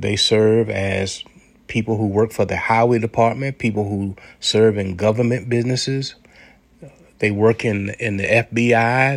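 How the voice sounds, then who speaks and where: A man speaks at a fairly slow pace with fairly even intonation and a medium pitch. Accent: American. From United States. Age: 60s. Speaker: commentary podcaster. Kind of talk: monologue commentary. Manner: halting, repeated words.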